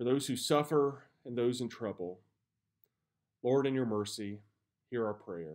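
A man with ordinary pitch variation and long, frequent pauses, against a quiet background. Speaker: pastor. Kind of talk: fervent prayer, solemn and devotional, with a scripture reading. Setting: church video message. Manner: earnest, slow and reverent, with a hushed, heartfelt delivery. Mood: calm, reverent. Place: home room. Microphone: phone near.

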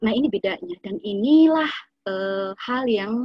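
A woman's fairly high, somewhat breathy voice at a fairly slow pace with lively intonation. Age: 30s. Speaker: nutritionist giving an Islamic study talk. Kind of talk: lecture; Q&A answers.

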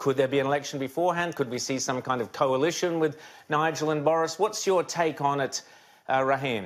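Delivered at a fairly quick pace, a man's fairly high voice carries an Australian accent and ordinary pitch variation. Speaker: TV news host. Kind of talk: TV interview. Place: studio.

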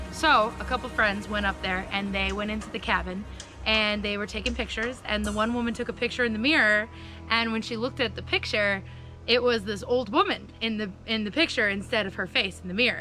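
Faint music plays in the background as a woman speaks, the sound dry with no echo. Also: fairly quick pace. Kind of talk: casual storytelling. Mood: playful, spooky story. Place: forest.

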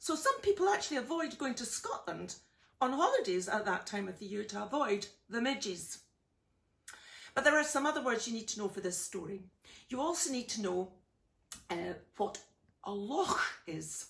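A woman with a fairly high pitch makes very wide pitch swings. She leaves long, frequent pauses against a quiet background. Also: moderate pace. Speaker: storyteller. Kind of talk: casual explanation to children. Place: home room. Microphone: phone near.

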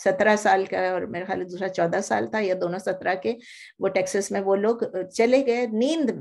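There is vocal fry in this woman's voice. She speaks at a moderate pace with ordinary pitch variation. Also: medium pitch for a woman, quiet background. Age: old. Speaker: Quran teacher. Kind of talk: religious lecture. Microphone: webcam.

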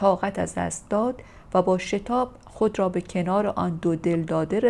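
In a natural reading voice, the speech moves with ordinary pitch variation.

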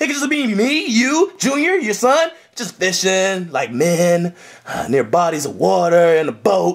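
A man puts on a cartoonish character voice, pitched high, with lively intonation. He moves at a fairly slow pace, with vocal fry running through it.

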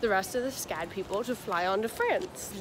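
A woman's voice comes through with noticeable background noise and a dry sound with no echo. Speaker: travel vlogger. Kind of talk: casual vlog chat. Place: station. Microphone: phone near.

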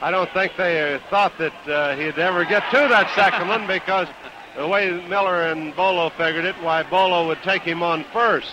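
Over noticeable background noise, a man with a high pitch and ordinary pitch variation talks at a moderate pace, the sound dry with no echo. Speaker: ring announcer, former wrestler; wrestling commentator. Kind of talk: casual commentary talk. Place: stadium. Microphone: podium.

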